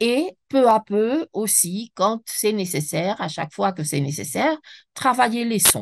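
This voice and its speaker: Against a quiet background, the voice moves at a very slow pace with very wide pitch swings, the sound dry and close with no echo. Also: woman, fairly high pitch for a woman. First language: Spanish (speaking French). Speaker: French teacher trainer, speaker. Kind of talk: webinar lecture. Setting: online webinar. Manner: halting, with self-corrections.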